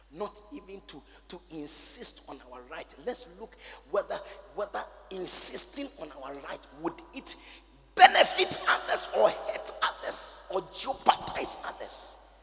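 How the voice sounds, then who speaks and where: The speech moves at a fairly slow pace amid noticeable background noise. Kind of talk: fervent pastoral prayer led over a congregation, with shouted commands to pray aloud. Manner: urgent, commanding, exhorting, repeating phrases for emphasis.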